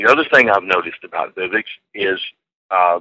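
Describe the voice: The tone is bright and sharp, delivered at a moderate pace. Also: man, dry, close sound with no echo.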